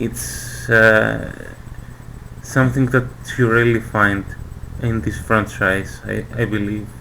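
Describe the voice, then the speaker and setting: A man with a non-native accent speaks at a very slow pace, with long, frequent pauses over noticeable background noise. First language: not English. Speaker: manga fan presenter. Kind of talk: casual video presentation. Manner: hesitant, many fillers.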